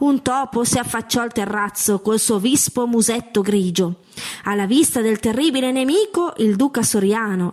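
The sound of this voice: This unforced reading voice shows ordinary variation in pitch.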